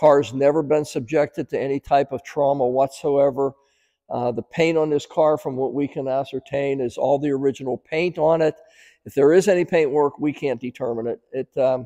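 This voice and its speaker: A man with a dark, mellow tone, fairly even intonation and a moderate pace, over a quiet background. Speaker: car dealer salesman. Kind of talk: sales walkaround presentation. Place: shop.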